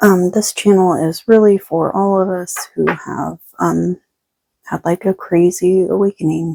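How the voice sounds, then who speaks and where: A soft-spoken woman talks at a fairly slow pace. The sound is dry and close, with no echo. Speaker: tarot reader. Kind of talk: collective spiritual reading. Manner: quiet, soft-spoken.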